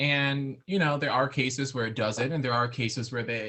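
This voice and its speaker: A man with an American accent at a moderate pace, his intonation fairly even. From New England, Waterbury Connecticut. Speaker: opera singer, countertenor. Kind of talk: interview.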